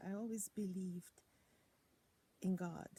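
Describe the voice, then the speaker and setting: This woman's voice sits at medium pitch with a dark, mellow tone. It is somewhat breathy. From Germany. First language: German. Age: 60s. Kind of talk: personal testimony.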